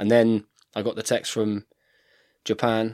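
The speaker has an English accent. The recording is very clean, with a silent background. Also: man. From England. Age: 30s. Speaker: professional rugby player. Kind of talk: casual chat. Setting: studio.

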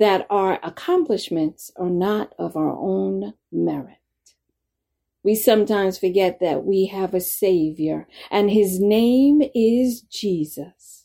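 On a very clean recording with a silent background, a woman of medium pitch speaks very slowly in a dark, mellow tone with ordinary pitch variation. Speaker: church elder giving devotion. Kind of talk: fervent prayer closing a devotional. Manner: earnest, heartfelt, devout.

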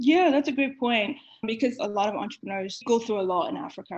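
Talking very fast with vocal fry, a woman uses lively intonation. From Nigeria. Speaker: venture capital investor. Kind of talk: interview.

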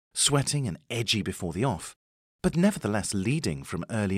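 In a dramatic tone, a man speaks at a fairly low pitch and moderate pace, his pitch swinging very widely. The sound is dry and close with no echo, on a very clean recording with a silent background. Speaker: racing historian and podcast host. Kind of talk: scripted documentary narration, storytelling about racehorse history. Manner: measured, polished, brisk storyteller, wry and dramatic at the big moments.

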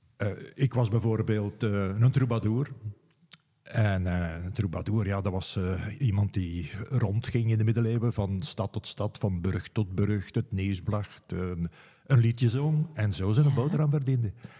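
A man speaks at a fairly slow pace with a fairly low pitch, ordinary pitch variation and a dark, mellow tone. His voice is somewhat breathy, on a very clean recording with a silent background. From Flemish Brabant, Belgium (Meensel, Hageland). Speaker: city guide and storyteller. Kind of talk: interview, storytelling.

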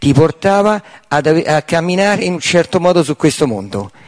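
In a dry, close recording with no echo, a man speaks at a moderate pace. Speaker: seminar participant. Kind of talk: audience question. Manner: hard to understand.

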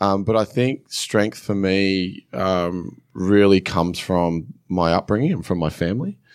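In a very clean recording with a silent background, a man with an Australian accent and a very deep, low voice speaks at a fairly slow pace, with very even loudness, ordinary pitch variation and hardly any pauses. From New South Wales, Australia. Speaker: former rugby league player, fitness entrepreneur. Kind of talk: casual interview. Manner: hesitant, many fillers.

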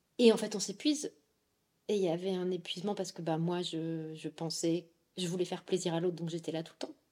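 At a fairly quick pace, a woman with a fairly low pitch and a dark, mellow tone talks with big swings in loudness. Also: ordinary pitch variation. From France. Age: 30s. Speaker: podcast guest, poet and tech worker. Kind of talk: testimony. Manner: animated.

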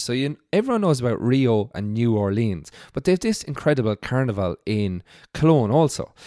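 Speaking at a very fast pace with a western Irish accent, a man with a medium pitch and a dark, mellow tone makes very wide pitch swings, on a very clean recording with a silent background and a dry, close sound with no echo. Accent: Irish (west of Ireland). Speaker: hospitality industry worker. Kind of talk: casual chat.

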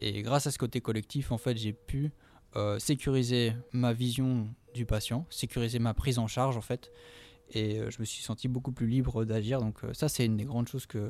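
A man talks at a medium pitch. His delivery is monotone and flat. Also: moderate pace. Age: 20s. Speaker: physiotherapist. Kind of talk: interview. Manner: halting, many fillers.

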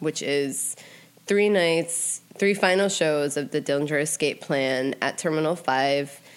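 Over noticeable background noise, a woman with a very deep, low pitch talks at a fairly slow pace, with very even loudness and ordinary pitch variation. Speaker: podcast co-host. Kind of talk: casual chat. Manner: casual, conversational.

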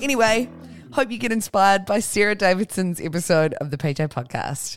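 Lively intonation from a medium-pitched woman with an Australian accent, at a moderate pace, with music in the background. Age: 30s. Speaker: podcast host. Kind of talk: casual interview chat.

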